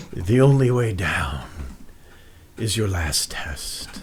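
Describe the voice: A man performs a put-on character voice at a fairly low pitch. He speaks at a very slow pace.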